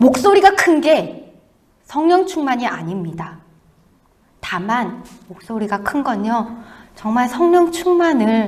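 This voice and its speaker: Speaking very slowly, a woman uses a high voice with very wide pitch swings, and the room echo is audible. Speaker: missionary. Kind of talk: sermon. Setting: church.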